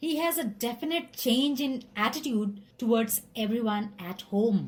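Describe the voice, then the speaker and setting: A woman with an Indian accent talks at a fairly slow pace, her fairly high pitch carrying lively intonation. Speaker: relationship counselor. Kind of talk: list narration.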